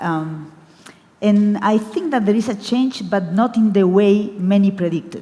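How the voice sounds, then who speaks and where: With a Spanish accent, a woman speaks at medium pitch with lively intonation. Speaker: book fair director. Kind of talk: panel discussion. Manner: halting.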